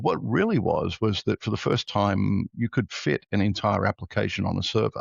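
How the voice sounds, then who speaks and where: A man's fairly low voice with vocal fry and an Australian accent, at a fairly quick pace. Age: 60s. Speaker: tech entrepreneur. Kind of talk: podcast interview.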